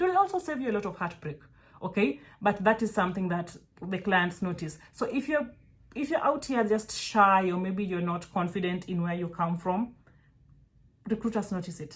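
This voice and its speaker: With a Kenyan accent, the speaker sounds somewhat breathy, talking at a moderate pace with ordinary pitch variation. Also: woman, medium pitch for a woman. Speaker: virtual assistant mentor. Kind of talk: casual tutorial talk to camera. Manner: animated, conversational with frequent fillers.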